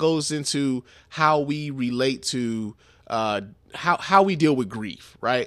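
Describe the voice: The recording of this man is very clean, with a silent background. His tone is fairly bright.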